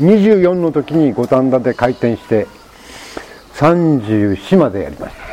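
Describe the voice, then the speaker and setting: Over noticeable background noise, a man with a fairly high pitch speaks at a very slow pace, with very wide pitch swings, big swings in loudness, and long, frequent pauses. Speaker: sheep ranch owner and former French chef. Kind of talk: casual chat.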